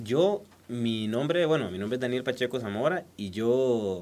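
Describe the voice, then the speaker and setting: An unremarkable speaking voice from a man, medium in pitch, with lively intonation at a fairly slow pace. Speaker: beekeeper and honey producer. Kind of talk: casual interview. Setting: recording studio.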